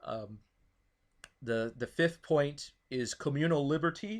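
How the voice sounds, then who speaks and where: The man's pitch is fairly high. It varies in an ordinary way. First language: not English (English is third language, Italian second). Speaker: political talk show host. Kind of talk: casual political discussion. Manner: halting, repeats words.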